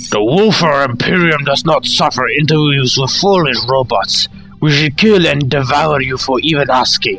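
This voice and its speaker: A man growls in a put-on character voice at a fairly high pitch and moderate pace. Clear music plays in the background. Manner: menacing, arrogant.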